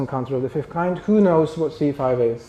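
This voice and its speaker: This man speaks with a Polish accent at a fairly quick pace. His tone is dark and mellow, his pitch fairly high, with ordinary pitch variation. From Poland. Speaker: spiritual group founder. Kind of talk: lecture. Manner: halting.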